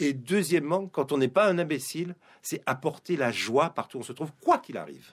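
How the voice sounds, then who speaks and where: Vocal fry runs through speech at a moderate pace on a very clean recording with a silent background. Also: man. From Guadeloupe. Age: 50s. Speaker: publisher and Torah teacher. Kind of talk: radio interview. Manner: hesitant, with fillers and repetitions.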